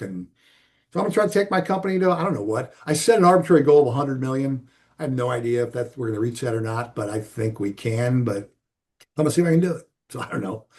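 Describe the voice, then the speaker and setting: Somewhat breathy, a man talks at a very fast pace and medium pitch. His intonation is lively, and the background is quiet. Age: 60s. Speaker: business owner. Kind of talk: interview. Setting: call. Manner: conversational, emphatic.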